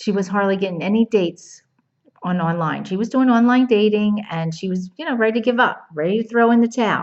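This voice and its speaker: A woman speaks in a New Jersey accent at a fairly high pitch. Her intonation is lively. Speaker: dating coach. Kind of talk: casual to-camera video talk. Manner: animated.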